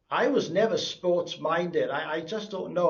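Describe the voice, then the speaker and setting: Speaking with a South Welsh accent, a man talks at a moderate pace in a high pitch, with audible room echo. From South Wales, Kidwelly. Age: 60s. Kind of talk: interview testimony.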